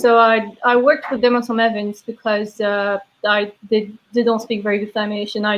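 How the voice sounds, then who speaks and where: Speaking with a Belgian accent at a moderate pace, a woman keeps her fairly high voice monotone and flat. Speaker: brewery sales and taproom manager. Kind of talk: casual interview chat.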